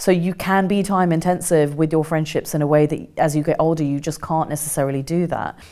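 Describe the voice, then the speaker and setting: Her pitch very deep and low, a woman talks at a fairly quick pace in a monotone, flat intonation. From England (Kent), partly raised in India. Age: 40s. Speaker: author and journalist. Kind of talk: interview.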